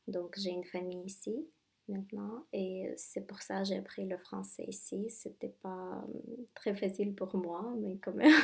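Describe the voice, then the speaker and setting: A woman with a Russian accent speaks at a fairly slow pace in a medium pitch. Her voice is somewhat breathy, with ordinary pitch variation. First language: Russian (speaking French). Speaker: language tutor. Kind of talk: casual interview. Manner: halting, with hesitations.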